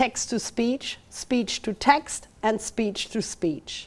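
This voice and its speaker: Fairly slow speech from a woman with a German accent and a fairly high pitch. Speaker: university lecturer. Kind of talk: lecture. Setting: talk with live and online audience. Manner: halting.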